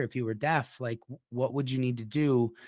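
An ordinary speaking voice from a man with an American accent, medium pitch, fairly even intonation and a fairly quick pace, on a very clean recording with a silent background. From Minnesota. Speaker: podcast host and company CEO. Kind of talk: interview podcast.

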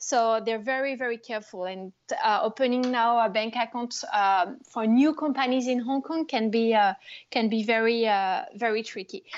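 A woman in a French accent talks at a moderate pace, her fairly high pitch showing ordinary variation. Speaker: startup founder. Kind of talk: interview. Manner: hesitant.

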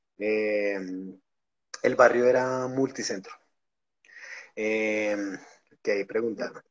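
A fairly low-pitched man at a very slow pace, monotone, flat intonation, long, frequent pauses. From Colombia, Bogotá. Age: 30s. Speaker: record label founder and punk musician. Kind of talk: casual chat.

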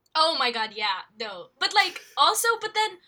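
A woman's raised, projected voice in an American accent, with very wide pitch swings. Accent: American-sounding English. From Philippines. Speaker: podcast co-host. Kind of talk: casual chat. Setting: remote recording.

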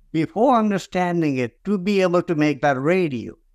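A man with a Nepali accent speaks at a fairly slow pace in a high pitch with lively intonation, on a very clean recording with a silent background. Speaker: tech company founder. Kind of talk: interview answers, storytelling. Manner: halting, filler-heavy.

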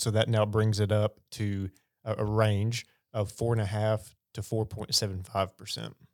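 Speaking at a moderate pace, a man with a fairly low pitch keeps a monotone, flat intonation in a very clean recording with a silent background. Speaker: financial advisor. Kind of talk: casual professional roundtable discussion.

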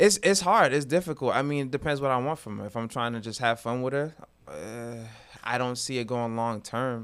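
This man has an ordinary speaking voice with an American accent. He talks at a fairly quick pace and a medium pitch. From Massachusetts. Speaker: teacher and mentor. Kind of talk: casual chat. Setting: studio.

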